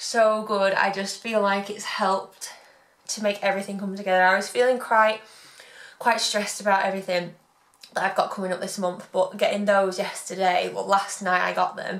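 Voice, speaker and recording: A woman with monotone, flat intonation talks at a moderate pace, noticeable background noise around her. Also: medium pitch for a woman. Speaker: blogger and business coach. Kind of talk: vlog.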